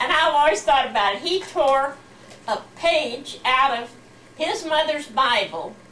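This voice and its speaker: Against noticeable background noise, a woman with an American accent speaks at a fairly slow pace. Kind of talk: interview answer.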